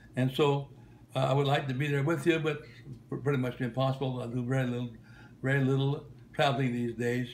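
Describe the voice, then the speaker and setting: Very fast but broken by long, frequent pauses, a man's somewhat breathy, medium-pitched voice stays monotone and flat. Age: 90s. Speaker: retired travelling minister. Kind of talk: recorded video greeting. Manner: halting, many fillers and repetitions.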